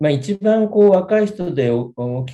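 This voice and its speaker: Lively intonation marks a man speaking at a fairly slow pace. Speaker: lawyer. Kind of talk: interview. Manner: halting.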